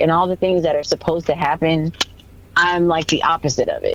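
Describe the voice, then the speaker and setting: With an American accent, a woman talks over noticeable background noise. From US Midwest, St. Louis. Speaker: country singer. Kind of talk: casual chat. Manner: halting, many fillers.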